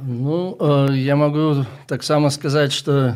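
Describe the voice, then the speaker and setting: Speaking at a very slow pace, a man with a Russian accent has a fairly high pitch. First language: Russian (speaking Ukrainian). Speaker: missionary, ministry leader. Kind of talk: radio interview. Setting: radio studio.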